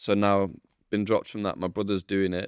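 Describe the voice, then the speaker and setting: A man with a Mancunian accent, very deep and low in pitch, monotone and flat at a very fast pace, in a dry, close sound with no echo and a quiet background. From Manchester, England. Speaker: professional dancer. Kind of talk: casual chat. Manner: laughs often.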